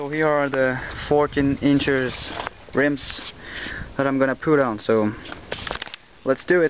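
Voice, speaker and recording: With long, frequent pauses, a speaker in a French accent talks at a fairly slow pace against noticeable background noise. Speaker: car enthusiast vlogger. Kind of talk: casual video blog. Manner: halting, many fillers.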